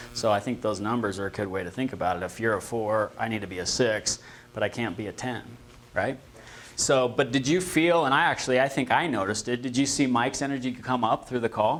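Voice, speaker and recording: A man speaks very fast at a medium pitch with ordinary pitch variation. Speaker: real estate trainer. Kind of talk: training class discussion. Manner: energetic.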